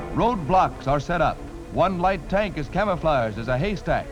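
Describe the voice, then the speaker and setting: A man's high-pitched, dramatic voice at a moderate pace with ordinary pitch variation, over music in the background. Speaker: newsreel narrator. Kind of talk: vintage newsreel narration. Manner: dramatic, urgent.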